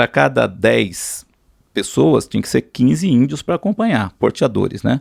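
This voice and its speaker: The man speaks at a fairly slow pace. The sound is dry and close, with no echo. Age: 60s. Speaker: pilot and businessman. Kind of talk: interview storytelling. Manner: halting, many repetitions.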